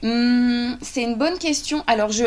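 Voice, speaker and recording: Against noticeable background noise, a woman speaks in a high voice at a moderate pace with ordinary pitch variation. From France. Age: 30s. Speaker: journalist and author. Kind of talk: interview. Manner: hesitant with fillers.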